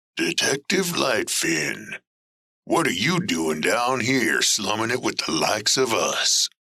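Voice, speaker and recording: Putting on a gruff character voice, a man speaks at a medium pitch and a fairly slow pace, his loudness very even throughout. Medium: audio drama. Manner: streetwise, defensive, ungrammatical.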